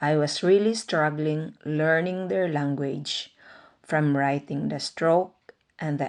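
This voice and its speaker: Speaking with a Visayan accent, a woman has a very deep, low pitch and ordinary pitch variation. She goes at a very slow pace. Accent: Filipino (Visayan). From Philippines, Agusan (Mindanao). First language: Bisaya (Cebuano). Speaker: vlogger. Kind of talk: personal narration.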